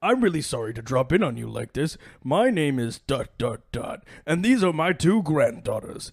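Using a put-on character voice pitched fairly high, a man talks at a moderate pace with long, frequent pauses. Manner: polite, apologetic.

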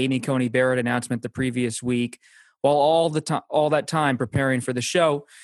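Someone speaks at a fairly quick pace with an American accent, in a normal speaking voice. The sound is dry and close with no echo, and the pitch varies in an ordinary way. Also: man. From Pennsylvania. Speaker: political journalist. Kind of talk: interview.

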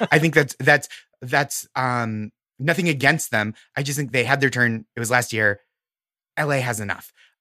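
A man with an American accent talks at a moderate pace and medium pitch, his tone bright and sharp with ordinary pitch variation. He leaves long, frequent pauses in a very clean, silent recording that sounds dry and close with no echo. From Massachusetts, Boston area (Stoneham). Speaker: comedian. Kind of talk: casual chat.

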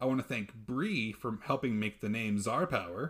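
A plain, everyday voice with an American accent moves at a moderate pace with ordinary pitch variation. The recording is very clean, with a silent background. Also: man. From Texas. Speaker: podcast host, history presenter. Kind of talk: casual chat.

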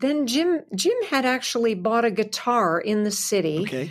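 Lively intonation and a slight Canadian accent come through on a very clean recording with a silent background. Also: woman. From Southwestern Ontario, Canada. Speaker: country singer and radio host. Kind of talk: interview.

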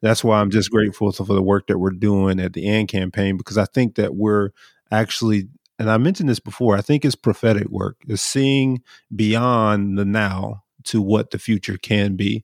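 Heard here is a normal speaking voice with an American accent, moving at a moderate pace with fairly even intonation. The recording is very clean and dry, close with no echo, over a silent background. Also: man, fairly low pitch for a man. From US South, Brunswick, Georgia. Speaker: leader of a justice organization. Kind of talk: casual chat.

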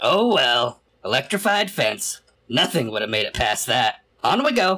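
A gruff put-on character voice from a man, high-pitched, at a moderate pace. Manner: gruff, irritable, sarcastic.

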